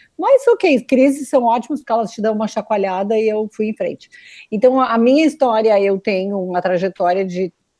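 A woman talks with a dark, mellow tone at a fairly high pitch. The sound is dry and close with no echo, over a quiet background. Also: ordinary pitch variation, moderate pace. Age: 50s. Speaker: mentor and coach. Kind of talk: casual chat. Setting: video call.

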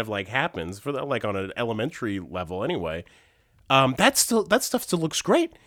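The man's tone is bright and sharp. He talks at a moderate pace. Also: very clean recording, silent background. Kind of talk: casual chat.

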